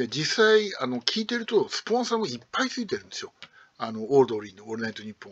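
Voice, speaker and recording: A man speaks at a very fast pace in a fairly high voice, his pitch swinging very widely and his loudness rising and falling sharply. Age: old. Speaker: radio hobbyist YouTuber; radio fan commentator. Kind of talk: casual monologue. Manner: hesitant, many fillers. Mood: wistful grumbling, pleading.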